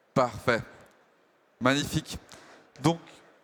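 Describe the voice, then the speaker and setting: With fairly even intonation, a man speaks fairly slowly. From Germany. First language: German (speaking French). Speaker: panel moderator, tech company executive. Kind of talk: conference panel moderation. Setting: stage with audience at trade show. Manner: hesitant, many fillers.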